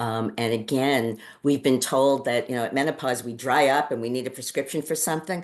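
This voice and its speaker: The background is quiet as a woman talks with a New York accent. Her pitch is very deep and low. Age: 60s. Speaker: podcast co-host and Ayurvedic practitioner. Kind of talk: casual chat.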